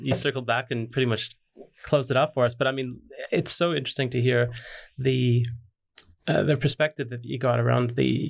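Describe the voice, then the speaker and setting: Fairly quick, flat, monotone delivery from a man at medium pitch, with vocal fry. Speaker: podcast host. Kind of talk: casual interview.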